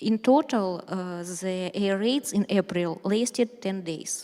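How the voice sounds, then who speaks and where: A woman speaks in a Ukrainian accent with a dark, mellow tone. She talks with hardly any pauses. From Ukraine. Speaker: journalist. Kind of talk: speech. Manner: halting; reading aloud.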